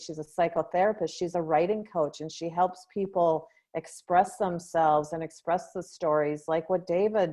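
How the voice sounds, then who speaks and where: A woman's fairly low, dark and mellow voice in a flat monotone at a moderate pace, hardly any pauses, quiet background. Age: 60s. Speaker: grief coach. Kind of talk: interview outro.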